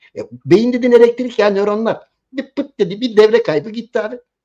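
In a quiet setting, a man talks at a moderate pace. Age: 70s. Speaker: political commentator. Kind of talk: political commentary. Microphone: video call.

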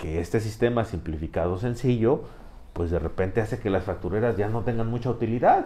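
A man's voice of medium pitch, dark and mellow in tone, somewhat breathy. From Mexico. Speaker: political commentator. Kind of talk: casual political debate. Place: studio.

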